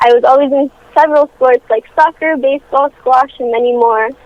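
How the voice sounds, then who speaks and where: A woman talks at a fairly quick pace in a high pitch with ordinary pitch variation. Noticeable background noise runs behind her. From French Canada. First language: French. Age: 18. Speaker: youth charity founder. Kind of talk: phone interview. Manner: rehearsed, formal.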